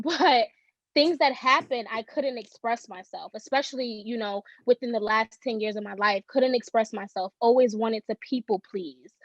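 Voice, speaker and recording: In a New York accent, a woman speaks at a moderate pace in a fairly high voice, with ordinary pitch variation, big swings in loudness and a dry, close sound with no echo. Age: 20s. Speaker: social worker and author. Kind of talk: podcast interview.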